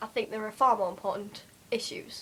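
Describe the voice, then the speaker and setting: A woman with a Geordie accent speaks at a moderate pace. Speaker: vlogger. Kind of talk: casual vlog monologue. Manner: hesitant, many fillers.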